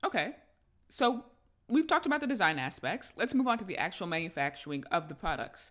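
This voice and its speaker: In a very clean recording with a silent background, a woman with an American accent talks at a very fast pace in an upbeat, enthusiastic tone, her fairly high pitch making very wide swings and dipping into vocal fry. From Tampa Bay, Florida. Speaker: podcast host. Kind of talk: interview, casual chat.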